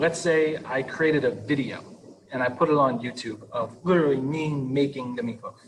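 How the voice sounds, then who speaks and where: A man's fairly high-pitched voice at a moderate pace, over noticeable background noise. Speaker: teacher leading staff training. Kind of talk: online training tutorial. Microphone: laptop built-in mic, breaking up.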